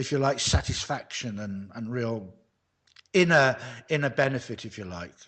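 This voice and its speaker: With a British accent, a man speaks at a moderate pace and medium pitch, his intonation lively and his loudness swinging a lot. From UK. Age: 60s. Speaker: men's coach, retired lighting designer. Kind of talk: interview.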